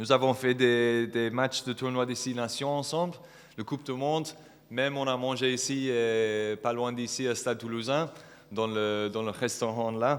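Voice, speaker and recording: A man's medium-pitched voice at a moderate pace, fairly even in intonation, over noticeable background noise. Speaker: wedding guest giving a speech. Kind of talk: wedding speech. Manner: halting.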